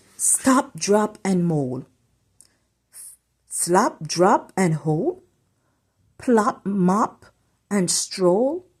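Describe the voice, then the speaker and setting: A female-sounding put-on character voice mumbles softly at a medium pitch and a very slow pace. Long, frequent pauses break it up on a very clean recording with a silent background. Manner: muttering, mumbling softly to herself.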